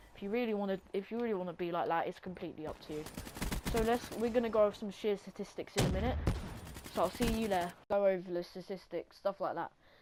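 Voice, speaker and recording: The speaker talks very fast with fairly even intonation over noticeable background noise. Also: woman, medium pitch for a woman. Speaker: gaming YouTuber. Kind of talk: casual game commentary. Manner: hesitant, rambling.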